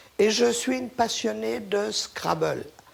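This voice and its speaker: At a very slow pace, a woman speaks at a medium pitch with very wide pitch swings. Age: 70s. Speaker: local resident. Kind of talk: interview.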